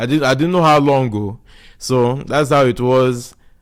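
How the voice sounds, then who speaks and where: A man with a strong southeastern Nigerian accent at a medium pitch, fairly even in intonation, on a very clean recording with a silent background. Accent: Nigerian (Igbo) accent, strong. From Nigeria (Igbo, raised there from age 7). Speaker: podcast guest. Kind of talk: casual chat.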